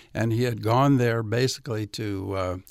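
With a Southern US accent, a man talks at a medium pitch and a moderate pace, using ordinary pitch variation. The recording is very clean, with a silent background. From US South. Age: 70s. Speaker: civil rights activist and author. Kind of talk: radio interview. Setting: studio.

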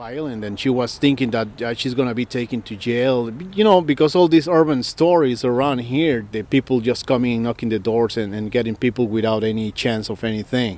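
At a fairly quick pace and with hardly any pauses, a man talks in an unremarkable speaking voice of medium pitch with ordinary pitch variation. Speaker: immigrant, community member. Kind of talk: interview.

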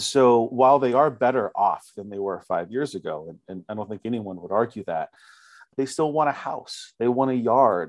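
A man with an American accent and medium pitch, at a moderate pace with ordinary pitch variation, against a quiet background. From US West, Fresno, California. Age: 30s. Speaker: photojournalist. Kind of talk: radio interview. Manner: halting, with frequent repetitions and fillers.

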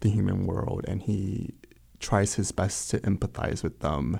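A man with a fairly low pitch and vocal fry speaks at a fairly slow pace with fairly even intonation. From Wichita, Kansas (immigrated as a child). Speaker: novelist and poet. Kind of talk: interview. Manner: halting, with fillers.

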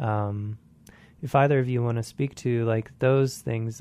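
A man's dark, mellow tone at a fairly slow pace. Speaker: radio host. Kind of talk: radio interview.

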